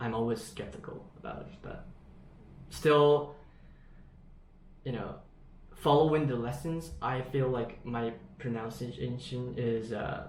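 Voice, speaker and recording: Somewhat breathy, a man speaks at a fairly slow pace and a medium pitch with ordinary pitch variation, long, frequent pauses, big swings in loudness and audible room echo. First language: Japanese. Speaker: English learner. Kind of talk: online lesson conversation. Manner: halting.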